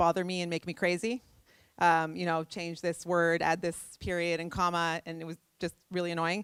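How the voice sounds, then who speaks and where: Recorded very cleanly against a silent background, a woman speaks fairly quickly in a fairly low pitch, the sound dry and close with no echo. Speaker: tech startup CEO. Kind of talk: conference talk. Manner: fast.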